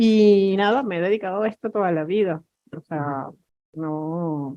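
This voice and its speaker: A woman of medium pitch and a dark, mellow tone speaks at a fairly slow pace with ordinary pitch variation. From Spain. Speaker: cybersecurity executive. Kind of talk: panel discussion.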